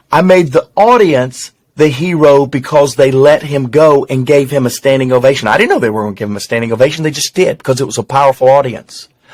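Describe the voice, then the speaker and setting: In a Southern US accent, a man with a fairly high voice talks at a fairly quick pace, his pitch varying in an ordinary way. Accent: Southern twang. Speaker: business executive and communicator. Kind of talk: casual interview conversation. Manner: fast.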